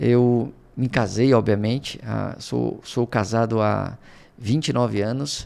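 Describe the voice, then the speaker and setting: Very slowly, a man speaks at medium pitch with fairly even intonation. The recording is very clean, the background silent. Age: 40s. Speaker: project management director and professor. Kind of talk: podcast interview.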